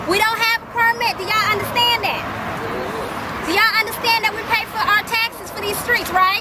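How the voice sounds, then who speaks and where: Over crowd noise, a woman speaks at an extremely high pitch in a monotone, flat way, at a moderate pace with hardly any pauses. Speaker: rally leader. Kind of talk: rally speech, call and response. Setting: outdoors in the rain.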